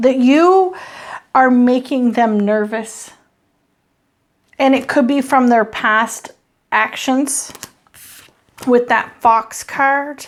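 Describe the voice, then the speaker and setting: A woman speaks very slowly at a high pitch with ordinary pitch variation. Her pauses are long and frequent. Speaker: tarot reader. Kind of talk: channeled tarot reading. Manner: halting.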